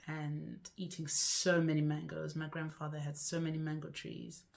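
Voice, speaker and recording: The speaker talks at a moderate pace in a Zimbabwean accent. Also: woman. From Zimbabwe (Bulawayo, Masvingo). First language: Shona. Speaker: lifestyle vlogger. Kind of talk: casual vlog to camera.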